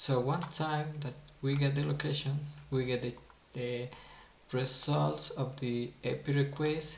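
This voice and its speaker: The speaker talks at a fairly slow pace with a non-native accent, leaving long, frequent pauses. Noticeable background noise runs underneath. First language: not English. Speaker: software developer teaching Android. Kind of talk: coding tutorial. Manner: halting, repeats words.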